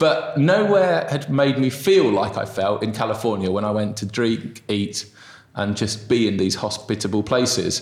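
Moderate pacing from a man, noticeable background noise behind him. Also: medium pitch for a man, ordinary pitch variation. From southeast England. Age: 30s. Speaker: restaurant co-founder. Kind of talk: interview conversation. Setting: small room with echo.

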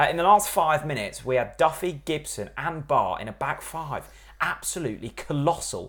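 A man talks at a moderate pace in a fairly high voice with vocal fry. His intonation is lively. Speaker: football podcast host. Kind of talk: casual banter. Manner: joking, banter.

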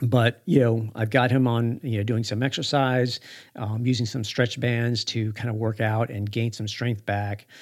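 In a very clean recording with a silent background, a man speaks at a moderate pace and medium pitch with monotone, flat intonation. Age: 50s. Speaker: podcast host and running store marketing director. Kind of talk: solo podcast monologue. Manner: halting, many fillers.

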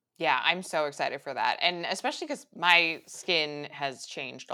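In a bright, sharp tone with vocal fry, a woman speaks at a fairly low pitch with hardly any pauses. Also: big swings in loudness. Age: 30s. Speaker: YouTuber and biohacking podcaster. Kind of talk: casual interview chat.

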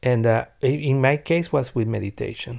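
On a very clean recording with a silent background, a man with a Venezuelan accent speaks fairly slowly with fairly even intonation. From Venezuela (Caracas), Italian parents. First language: Spanish. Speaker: singer-songwriter. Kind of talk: interview testimony. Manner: halting, repeating words.

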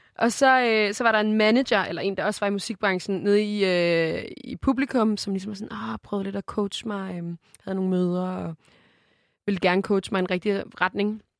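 A woman speaks in an unremarkable speaking voice at medium pitch and a moderate pace, her intonation fairly even, the sound dry and close with no echo against a quiet background. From Denmark, Køge. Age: 20s. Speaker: musician. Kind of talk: casual chat.

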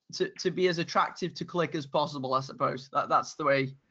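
A man with a British accent, fairly quick pace and fairly even intonation. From UK. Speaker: YouTuber on men's style. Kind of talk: podcast interview.

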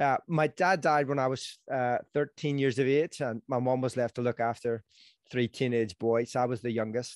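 A man with a Northern Irish accent at a medium pitch, moderate pace and fairly even intonation, in a dry, close sound with no echo and a quiet background. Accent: Northern Irish (Belfast). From Belfast, Northern Ireland. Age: 40s. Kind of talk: casual interview chat. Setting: video call.

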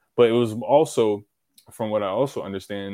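Someone talks at a moderate pace in an unremarkable speaking voice. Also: man. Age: 20s. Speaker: podcast guest. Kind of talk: casual chat.

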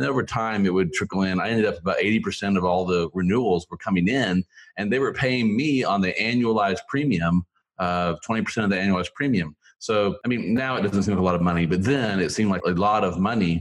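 Against a quiet background, a man with a fairly low pitch talks at a fairly quick pace with ordinary pitch variation in a normal speaking voice. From Oklahoma, Tulsa area. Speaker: small business lawyer. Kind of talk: interview.

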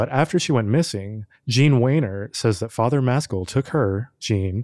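On a very clean recording with a silent background and a dry, close sound with no echo, a man speaks in a plain, everyday voice with ordinary pitch variation. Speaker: podcast producer and co-presenter. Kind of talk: casual true-crime discussion.

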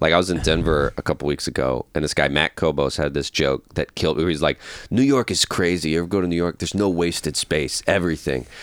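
In an American accent, a man talks at a very fast pace with a very deep, low pitch and vocal fry. The sound is dry and close, with no echo. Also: ordinary pitch variation, hardly any pauses. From US South, Georgia. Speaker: comedian. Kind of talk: casual chat.

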